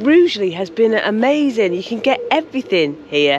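Light background noise sits behind a woman talking at a moderate pace with very wide pitch swings, the sound dry with no echo. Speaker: solo boat life vlogger. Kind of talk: casual vlog chat. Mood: cheerful, chatty. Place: waterside. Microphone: phone near.

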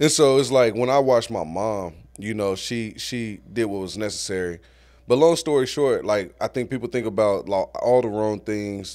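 In an unremarkable speaking voice with an American accent, a man speaks at a moderate pace and a fairly low pitch with ordinary pitch variation, on a very clean recording with a silent background. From Guthrie, Oklahoma. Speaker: artist and community leader. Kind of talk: casual interview.

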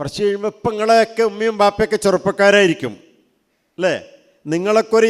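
A man talks with a high pitch. The sound is dry and close, with no echo. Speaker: Islamic teacher speaking to students. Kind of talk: religious talk to teenagers. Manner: conversational, asking audience questions.

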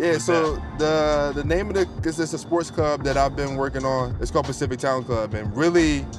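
Clear music plays in the background as a man speaks at a moderate pace with hardly any pauses. His pitch variation is ordinary, and the sound is dry with no echo. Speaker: host. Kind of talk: interview conversation. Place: car. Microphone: lapel.

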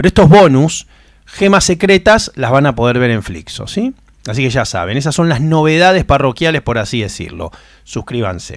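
A man with a fairly high pitch speaks at a moderate pace and swings his pitch very widely. The sound is dry with no echo over a quiet background. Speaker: film podcast host. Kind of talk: casual monologue. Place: home room. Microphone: studio mic.

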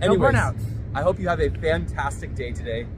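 A man talks fairly quickly, and noticeable noise can be heard behind him. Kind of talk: casual vlog chat. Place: street.

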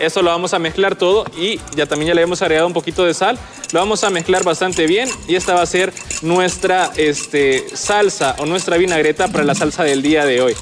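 Faint music plays behind a man speaking at a high pitch. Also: ordinary pitch variation, fairly quick pace. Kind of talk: cooking demonstration. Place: studio. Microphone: lapel.

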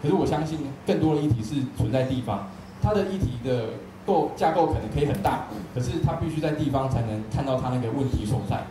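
With a Taiwanese accent, a man talks at medium pitch with lively intonation amid audible room echo and noticeable background noise. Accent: Taiwanese Mandarin. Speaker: event moderator. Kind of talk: panel moderation. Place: hall.

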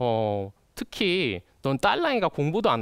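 Against a quiet background, a man's voice swings very widely in pitch, the sound dry with no echo. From Jeju. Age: 20s. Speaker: youth speaker; speaker. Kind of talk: prepared talk. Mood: earnest, lightly self-deprecating. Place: studio. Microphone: lapel.

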